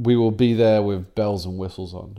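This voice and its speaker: The very clean recording has a silent background. A man speaks at a moderate pace in a dark, mellow tone with fairly low pitch. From England. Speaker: podcast co-host. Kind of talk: casual banter about card game.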